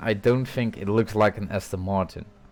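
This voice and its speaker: With a Dutch accent, a man speaks at a moderate pace, his medium pitch showing ordinary variation. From Netherlands. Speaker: sim racing commentator. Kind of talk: live commentary.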